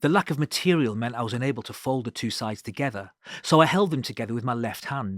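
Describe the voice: Someone reads aloud plainly. Nothing about the reading departs from that.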